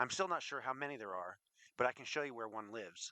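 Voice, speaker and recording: A man does a put-on character voice at medium pitch, talking very fast on a very clean recording with a silent background. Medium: read story. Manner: brief, clipped.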